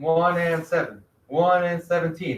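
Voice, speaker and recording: A man speaks loudly at a fairly slow pace, his voice pitched high. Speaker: middle school math teacher. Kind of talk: classroom lesson. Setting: classroom with virtual students.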